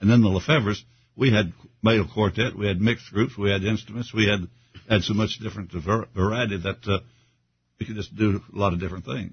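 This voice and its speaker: A man with an American accent talks at a fairly quick pace, his fairly low voice somewhat breathy and his intonation fairly even. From Kentucky. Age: 80s+. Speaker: retired gospel singer. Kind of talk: casual interview. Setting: studio.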